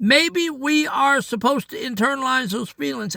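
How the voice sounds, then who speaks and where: A raised, projected male voice, bright and sharp in tone. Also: dry, close sound with no echo, very clean recording, silent background. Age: 60s. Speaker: daily devotional podcaster. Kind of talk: devotional talk. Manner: conversational, earnest.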